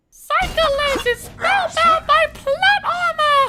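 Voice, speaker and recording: The speech moves at a fairly slow pace. It is delivered in a put-on character voice. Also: female-sounding voice, extremely high pitch for a woman. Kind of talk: comedic let's play commentary in character.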